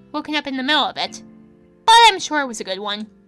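A woman talks at a very fast pace in a raised, projected voice with very wide pitch swings. Music plays in the background. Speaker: let's play narrator. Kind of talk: reading game text aloud.

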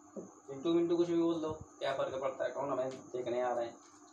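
A man with a medium pitch speaks at a fairly quick pace in a dark, mellow tone with ordinary pitch variation. Audible room echo surrounds his voice.

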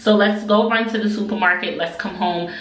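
Recorded with audible room echo and light background noise, a woman is speaking. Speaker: family vlogger. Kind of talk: casual vlog chat. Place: bathroom.

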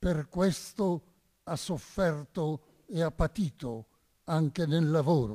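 Against a quiet background, a man with a dark, mellow tone and a fairly high pitch speaks at a very slow pace, with long, frequent pauses. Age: 90s. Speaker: priest and Resistance veteran; witness. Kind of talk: testimony. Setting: stage with audience. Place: stage. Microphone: podium.

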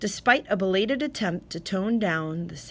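The voice here is a natural reading voice.

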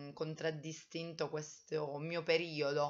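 A woman with a very deep, low pitch talks at a fairly slow pace against a quiet background. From Italy, Abruzzo (Teramo); Abruzzo, Italy. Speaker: vlogger, writing workshop leader; vlogger. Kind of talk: personal vlog monologue. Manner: hesitant, many fillers. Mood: reflective, warm. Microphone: webcam.

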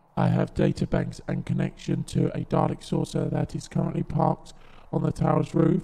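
A man's put-on, robotic character voice, fairly high in pitch, at a moderate pace. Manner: clipped, mechanical.

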